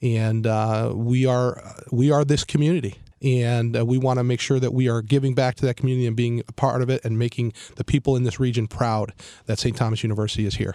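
A man's medium-pitched voice with an American accent, very fast, monotone and flat, in a dark, mellow tone. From Cleveland, Ohio. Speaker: university president. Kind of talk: radio interview. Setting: radio studio.

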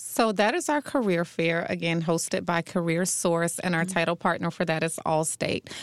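A woman with an American accent talks in a normal speaking voice at a fairly low pitch and moderate pace, with fairly even intonation, very even loudness and hardly any pauses, on a very clean recording with a silent background. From North Carolina. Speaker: event executive director. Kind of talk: radio interview. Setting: radio studio.

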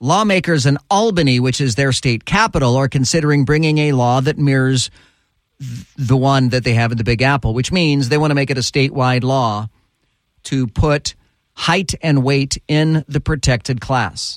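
A man speaks at a moderate pace in an ordinary speaking voice, fairly high-pitched with ordinary pitch variation. His loudness stays very even, and the sound is dry and close with no echo. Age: 50s. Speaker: talk radio host. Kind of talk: talk radio commentary.

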